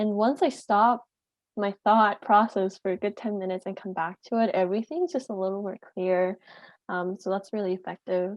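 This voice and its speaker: A plain, everyday voice at a moderate pace with ordinary pitch variation. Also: woman, medium pitch for a woman. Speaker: student health peer. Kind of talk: casual chat.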